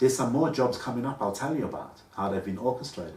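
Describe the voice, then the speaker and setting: A man with a medium-pitched voice speaks with audible room echo around him. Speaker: vlogger. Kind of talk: personal monologue. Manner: halting.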